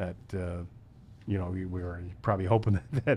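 A man talks at a moderate pace with a dark, mellow tone and a somewhat breathy quality. His pitch varies in an ordinary way over light background noise. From US Midwest. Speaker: local sports podcast host. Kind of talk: interview. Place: studio. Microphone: studio mic.

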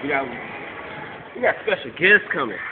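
The speech moves at a very fast pace. Background noise is noticeable. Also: man. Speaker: rapper promoter. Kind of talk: pitchman promo. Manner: hyped, loud, fast-talking street-style hype. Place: shop. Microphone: phone near.

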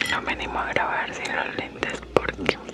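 A woman whispers her words at a very slow pace. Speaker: ASMR creator. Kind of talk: ASMR eating video. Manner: whispered. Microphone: studio mic.

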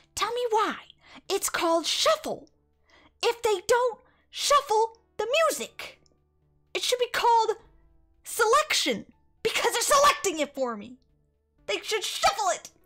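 Over music in the background, a woman uses a put-on character voice at an extremely high pitch, speaking at a moderate pace with long, frequent pauses. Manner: complaining.

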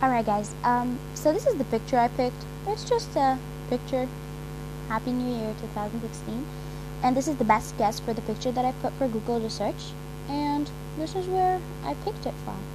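A woman talks at a moderate pace with long, frequent pauses over noticeable background noise. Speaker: YouTuber. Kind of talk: casual phone tutorial. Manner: upbeat. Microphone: phone near.

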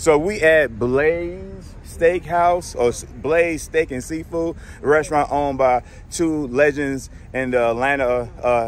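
A man talks at a very slow pace with ordinary pitch variation. The sound is dry with no echo, over light background noise. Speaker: vlogger host. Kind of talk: casual vlog chat. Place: street. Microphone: phone near.

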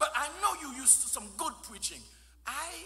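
A man is talking. He keeps a moderate pace. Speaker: guest preacher. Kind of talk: sermon. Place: church. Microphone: podium.

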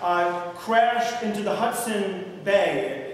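A man's lively intonation amid strong room echo and light background noise. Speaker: pastor. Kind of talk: sermon. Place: church. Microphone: camera far.

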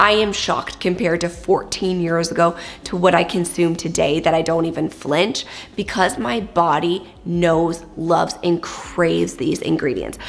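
This is an unremarkable speaking voice, its intonation fairly even and its pace moderate. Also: woman. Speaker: wellness vlogger. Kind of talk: casual vlog chat. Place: kitchen.

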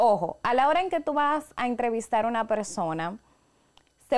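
At a moderate pace, a woman with a high pitch talks over a quiet background. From Dominican Republic (La Vega); Dominican Republic. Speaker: professional voice-over announcer and podcast co-host; podcast guest, professional announcer. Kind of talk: casual chat. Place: studio. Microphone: studio mic.

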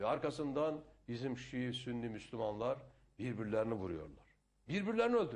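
A man speaks in an animated tone at a moderate pace. His pitch swings very widely. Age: 60s. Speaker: politician. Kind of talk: interview.

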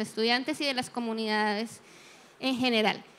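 A woman speaks in a raised, projected voice. Her tone is bright and sharp, with fairly even intonation. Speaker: education expert on the panel. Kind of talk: panel discussion. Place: hall. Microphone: handheld.

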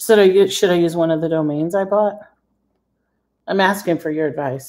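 A woman's fairly low, dark, mellow voice with an American accent, a fairly quick pace and ordinary pitch variation. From Michigan, US. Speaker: credit repair coach. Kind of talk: live-streamed tutorial. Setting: live video stream. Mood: chatty, excited at times. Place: kitchen. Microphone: phone near.

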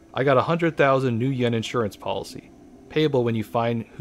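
This put-on character voice is gruff and moves at a moderate pace. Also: man. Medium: game stream. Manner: gruff, cynical, then serious.

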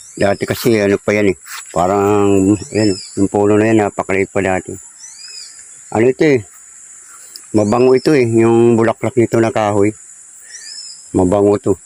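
A man talks at a fairly quick pace with long, frequent pauses, very even loudness and fairly even intonation, over noticeable background noise. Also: fairly low pitch for a man, dry, close sound with no echo. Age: 50s. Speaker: vlogger. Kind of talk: casual walking vlog narration. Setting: outdoors.

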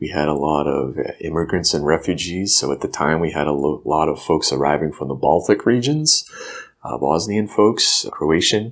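A man with a very deep, low voice speaks at a moderate pace with ordinary pitch variation over noticeable background noise. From New Hampshire. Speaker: health clinic CEO. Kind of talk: interview.

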